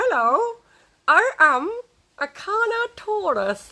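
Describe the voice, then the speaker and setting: A put-on character voice, extremely high and playful, with very wide pitch swings at a very slow pace. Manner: playful, roaring.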